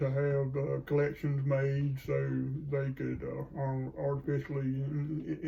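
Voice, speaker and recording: A fairly high-pitched man with a Southern US accent over noticeable background noise. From US South, North Carolina. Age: 60s. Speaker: grandfather. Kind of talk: casual interview. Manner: halting.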